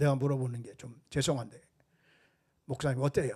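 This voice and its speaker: Somewhat breathy, a man's voice comes through on a very clean recording with a silent background. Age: 70s. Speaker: pastor. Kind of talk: sermon.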